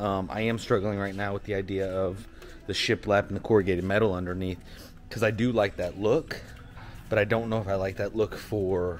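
Light background noise sits behind a man with a fairly low pitch. He talks fairly quickly with monotone, flat intonation. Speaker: small business owner vlogger. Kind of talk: casual vlog chat. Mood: relaxed, reflective. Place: shop. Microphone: phone near.

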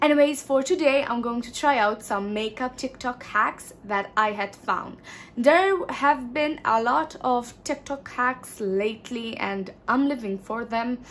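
A woman with a high voice talks fairly slowly, her pitch varying in an ordinary way. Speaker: beauty vlogger. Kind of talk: casual vlog chat. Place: home room. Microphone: phone near.

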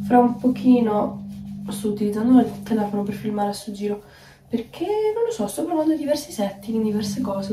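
The pitch varies in an ordinary way. Noticeable background noise and audible room echo are present. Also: woman. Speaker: vegan recipe content creator. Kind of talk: casual vlog talk. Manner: animated.

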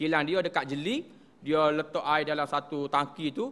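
The delivery keeps a moderate pace. Its pitch variation is ordinary. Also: man. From Kelantan, Malaysia; Malaysia. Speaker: religious teacher. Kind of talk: religious lecture. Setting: prayer hall. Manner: halting, with fillers. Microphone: podium.

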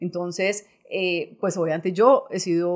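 Fairly low-pitched woman with monotone, flat intonation against a quiet background. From Colombia, Boyacá; Colombia. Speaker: bank executive; guest. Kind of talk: interview. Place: studio. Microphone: studio mic.

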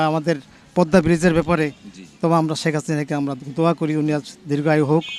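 A man is speaking. Music plays in the background. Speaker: retired university administrator, local resident. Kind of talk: street interview.

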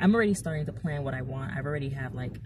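Vocal fry over noticeable background noise. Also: woman. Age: 20s. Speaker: vlogger. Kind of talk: casual vlog monologue. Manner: animated. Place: car. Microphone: phone near.

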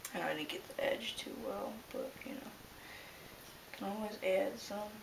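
Someone mumbles at a fairly quick pace over noticeable background noise. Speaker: model railroad hobbyist. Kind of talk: casual tutorial talk to camera. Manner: mumbling. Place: home room. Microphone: camera far.

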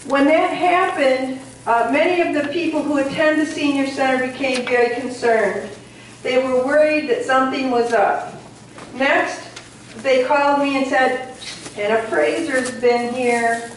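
A woman speaks at a fairly slow pace in a high voice with ordinary pitch variation, over light background noise and with audible room echo. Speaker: community committee chair and meeting moderator. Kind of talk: public meeting moderation. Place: hall. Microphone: camera far.

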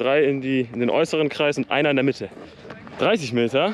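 Light background noise sits under a man talking at a moderate pace, the sound dry with no echo. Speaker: sports vlogger. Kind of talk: casual vlog chat. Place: open country. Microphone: phone near.

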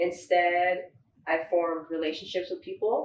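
Someone speaks at a moderate pace with an American accent. The room echo is audible, and there is light background noise. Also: woman. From US West Coast (San Fernando Valley, LA); California. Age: 20s. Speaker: baker and business owner; guest. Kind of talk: interview. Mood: friendly, relaxed. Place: home room.

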